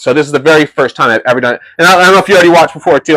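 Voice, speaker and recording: His words come out very fast. The man's pitch shows ordinary variation. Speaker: live-streaming cooking show host. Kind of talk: live-stream cooking chat. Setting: live stream in a home kitchen. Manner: loud; casual, halting with fillers.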